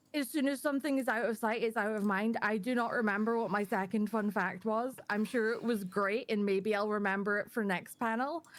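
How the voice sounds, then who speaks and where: A woman with a Scottish accent, fairly high in pitch, at a fairly quick pace with hardly any pauses and fairly even intonation. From Scotland. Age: 20s. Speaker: panel guest, community manager. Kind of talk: casual chat. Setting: live stream panel.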